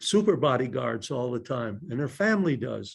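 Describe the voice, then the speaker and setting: The man's voice has vocal fry. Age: 80s+. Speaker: retired state supreme court justice and lawyer. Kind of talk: talk answering audience questions.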